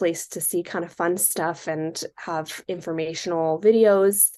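Against a quiet background, a woman with a West Coast accent speaks at a very slow pace. Her intonation is fairly even. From California, Silicon Valley. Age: 20s. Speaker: small business co-owner. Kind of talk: interview.

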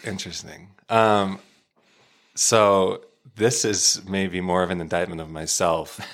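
With an American accent and a very deep, low pitch, a man talks at a fairly slow pace with fairly even intonation and long, frequent pauses, on a very clean recording with a silent background. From Arizona. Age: 20s. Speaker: data analyst and church worship leader. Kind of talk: testimony.

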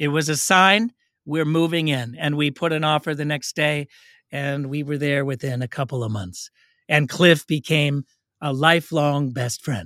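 A man with an American accent talks at a fairly high pitch and moderate pace, with a bright, sharp tone and ordinary pitch variation. The recording is very clean, with a silent background and a dry, close sound with no echo. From Oakland, California. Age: 50s. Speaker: racial justice trainer and podcaster. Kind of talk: interview conversation.

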